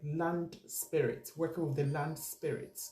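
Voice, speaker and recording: A woman speaks with a fairly low pitch. Her tone is dark, mellow and somewhat breathy. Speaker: spiritual teacher. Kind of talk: spiritual teaching monologue.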